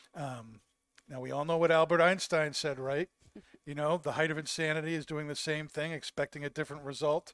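Fairly quick, monotone speech from a man with flat intonation and a dry, close sound with no echo. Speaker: podcast host. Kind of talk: casual chat. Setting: live stream.

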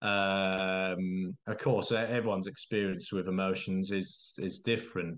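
A man with a very deep, low pitch at a fairly slow pace, against a quiet background. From Norwich, eastern England. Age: 30s. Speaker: children's author. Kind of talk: interview. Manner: hesitant, many fillers and repetitions.

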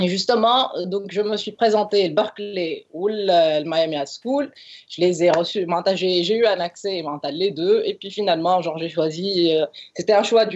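Fairly slow, medium-pitched female speech with ordinary pitch variation. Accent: Tunisian. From Tunisia. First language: Tunisian Arabic (speaking French). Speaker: advertising copywriter. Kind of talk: casual interview.

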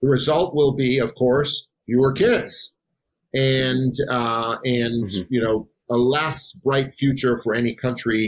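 At a fairly slow pace, a man with an unremarkable speaking voice and medium pitch speaks with ordinary pitch variation. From Wisconsin. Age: 50s. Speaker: political science professor. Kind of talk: podcast interview.

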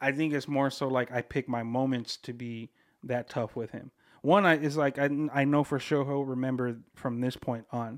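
In a very clean recording with a silent background and a dry, close sound with no echo, a man with an American accent speaks at a medium pitch, a moderate pace and with fairly even intonation. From Southern California (Bloomington, Inland Empire), Mexican heritage. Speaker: podcast producer. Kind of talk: casual chat.

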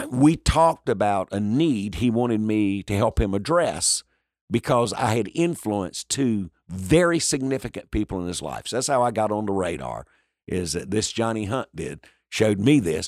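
A man with a North Carolina accent, fairly low-pitched, with very wide pitch swings, at a moderate pace, on a very clean, silent-background recording with a dry, close sound and no echo. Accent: US Southern, North Carolina. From North Carolina, Lumbee community. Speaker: pastor and evangelist. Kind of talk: interview. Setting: in person. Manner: energetic.

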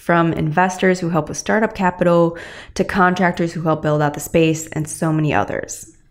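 A woman talks at a fairly quick pace with a fairly low pitch. Hers is an unremarkable speaking voice. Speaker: podcast host. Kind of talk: interview. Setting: home recording setup.

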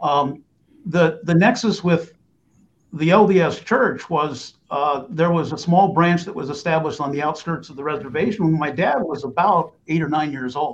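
A man with a normal speaking voice and an American accent talks at a moderate pace, his pitch fairly high with ordinary variation. His loudness swings widely. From US East Coast, Reston, Virginia. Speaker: lawyer. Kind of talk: interview.

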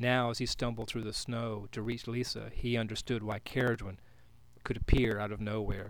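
Fairly even intonation in plain reading aloud.

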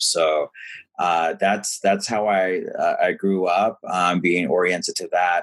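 A man is talking. His accent is American. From US South, rural southeast North Carolina. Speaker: philanthropy executive and author. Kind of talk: interview conversation.

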